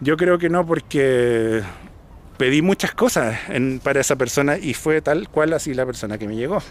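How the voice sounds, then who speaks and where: In a Chilean accent, the speaker talks at a moderate pace with ordinary pitch variation, recorded with a dry sound and no echo. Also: man, fairly high pitch for a man. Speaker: vlogger. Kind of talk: casual vlog monologue. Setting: outdoors, hill park after cycling. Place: open country. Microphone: phone near.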